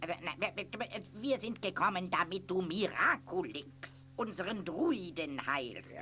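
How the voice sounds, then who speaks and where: A man's put-on character voice, high in pitch, fairly slow with hardly any pauses, over clear background noise. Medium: audio drama.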